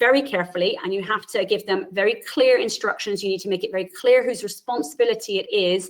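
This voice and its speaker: A woman with an Irish accent talks at a very fast pace with hardly any pauses. Her pitch is fairly high, with ordinary variation. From Ireland. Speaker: university lecturer and physiotherapist. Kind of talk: webinar presentation.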